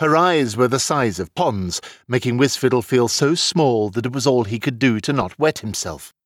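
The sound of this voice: The voice is an unforced reading voice. It reads the text aloud.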